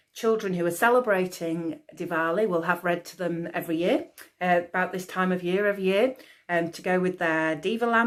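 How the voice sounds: The pitch shifts in an ordinary way. It comes from a natural reading voice.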